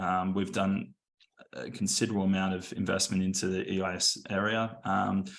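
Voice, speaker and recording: In an Australian accent, a man with a fairly low pitch speaks at a moderate pace in a monotone, flat intonation. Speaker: venture investor. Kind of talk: panel talk. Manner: halting, many fillers.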